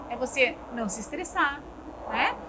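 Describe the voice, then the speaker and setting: A woman speaks in a raised, projected voice. Audible room echo and noticeable background noise fill the recording. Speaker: neurologist. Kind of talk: interview. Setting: restaurant studio. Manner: fast.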